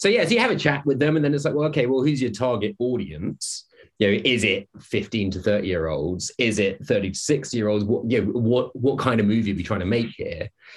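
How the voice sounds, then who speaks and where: Fairly quick and with hardly any pauses, a man speaks in a somewhat breathy voice of medium pitch with lively intonation. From Scotland, Glasgow. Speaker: film and video game composer. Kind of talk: casual interview chat. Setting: his studio.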